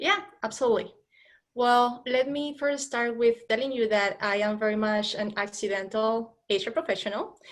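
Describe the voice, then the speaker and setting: The speaker has a Spanish accent and a moderate pace. Pitch moves with ordinary variation. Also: woman, fairly high pitch for a woman. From Colombia. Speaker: HR professional. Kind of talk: interview.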